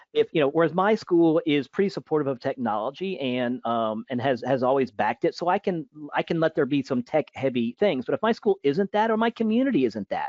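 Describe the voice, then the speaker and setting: Barely pausing, a man talks at a fairly quick pace, his fairly high voice making very wide pitch swings. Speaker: teacher. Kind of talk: webinar Q&A. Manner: fast; halting.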